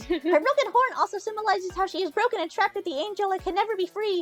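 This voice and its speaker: A woman's put-on character voice, extremely high-pitched and very fast. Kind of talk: reading aloud from a blog. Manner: mocking, nerdy.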